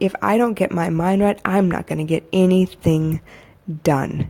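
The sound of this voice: A woman speaks in a dark, mellow tone.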